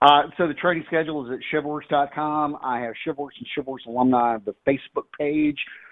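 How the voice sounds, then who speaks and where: A plain, everyday voice with an American accent, fairly quick and with hardly any pauses, its intonation fairly even. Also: man, fairly high pitch for a man. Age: 50s. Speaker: firearms and self-defense trainer, retired sheriff's deputy. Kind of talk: casual interview.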